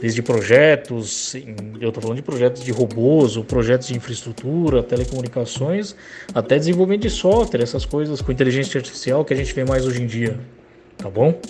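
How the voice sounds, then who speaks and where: Noticeable background noise sits under speech with ordinary pitch variation at a fairly quick pace. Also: man, medium pitch for a man. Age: 40s. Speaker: project manager. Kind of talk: interview. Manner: hesitant.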